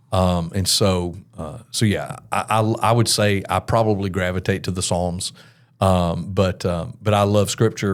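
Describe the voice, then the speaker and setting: In a very clean recording with a silent background, a man with an American accent speaks at a very deep, low pitch with fairly even intonation. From US South, Mobile, Alabama. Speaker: worship pastor. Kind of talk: podcast interview.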